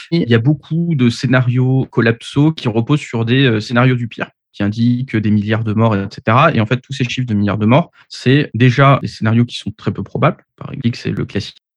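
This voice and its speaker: At a moderate pace and medium pitch, a man with an unremarkable speaking voice talks with hardly any pauses in a dry, close sound with no echo. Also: ordinary pitch variation. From Paris, France. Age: 30s. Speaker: engineer and author. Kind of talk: podcast interview.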